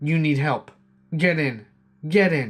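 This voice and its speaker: A man performs in a put-on character voice. He pitches it fairly high. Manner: insistent, urgent.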